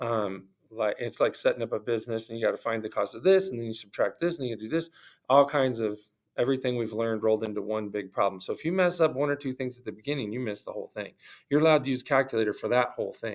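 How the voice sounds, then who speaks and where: Very fast speech from a man at medium pitch with ordinary pitch variation. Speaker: math teacher. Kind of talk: tutorial. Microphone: new camera setup after bad audio.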